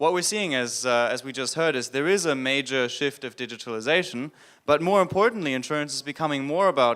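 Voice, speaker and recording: On a very clean recording with a silent background, a man with a German accent speaks at a fairly high pitch and a fairly quick pace, his bright, sharp tone showing ordinary pitch variation. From Germany. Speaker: business consultant. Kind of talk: conference panel discussion.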